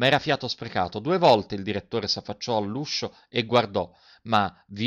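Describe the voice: The text is read out plainly, nothing more.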